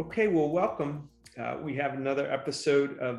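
A man speaks in an unremarkable speaking voice. His pitch varies in an ordinary way at a moderate pace. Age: 50s. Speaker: podcast host. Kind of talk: interview.

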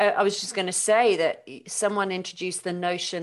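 With a British accent, a woman with a fairly low pitch speaks at a moderate pace. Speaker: podcast host and doula course facilitator. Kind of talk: casual interview chat.

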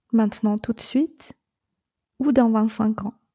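Very slowly, a woman with a Chinese accent speaks in a fairly high, somewhat breathy voice with a dark, mellow tone, the sound dry and close with no echo. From China. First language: Chinese (speaking French). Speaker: podcast host and separation coach. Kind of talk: monologue podcast advice.

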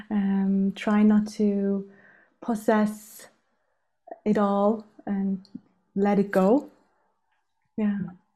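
Speaking at a very slow pace with long, frequent pauses, a woman uses a flat, monotone delivery at medium pitch, her dark, mellow tone somewhat breathy. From South Tyrol, Italian Alps. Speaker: holistic interior designer. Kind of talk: casual interview. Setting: remote call.

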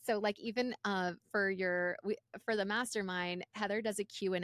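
Speaking in an ordinary speaking voice with an American accent, a woman keeps a medium pitch, ordinary pitch variation, and a moderate pace, captured on a very clean recording with a silent background and a dry, close sound with no echo. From Los Angeles, US. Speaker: podcast co-host. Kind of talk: casual interview chat.

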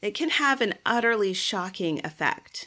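In a very clean recording with a silent background, the voice sounds animated and bright and sharp, with very wide pitch swings. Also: woman. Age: 40s. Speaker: podcast host and life coach. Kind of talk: solo podcast monologue.

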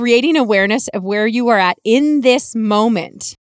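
The recording is very clean, with a silent background. A woman with a western Canadian accent speaks at a fairly high pitch. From Canadian prairies, rural Alberta/Saskatchewan. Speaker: podcast host and healing coach. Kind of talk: personal storytelling monologue.

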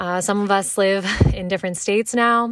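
A woman speaks in an animated tone with an American accent at a fairly slow pace. Her pitch sits in the medium range. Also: very clean recording, silent background. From US, Maryland. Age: 20s. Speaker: podcast host. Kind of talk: casual monologue.

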